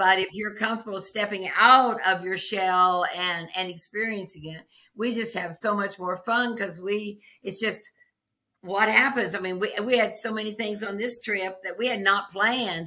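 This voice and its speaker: A woman talks with a bright, sharp tone. Her medium pitch holds fairly even intonation. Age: 80s+. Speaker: traveler. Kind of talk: interview answer.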